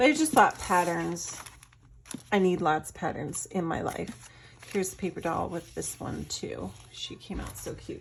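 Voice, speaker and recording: Loudness swings widely as a woman talks at a moderate pace, with noticeable noise in the background. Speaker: artist and craft seller. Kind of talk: product showcase tutorial. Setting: at home. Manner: animated.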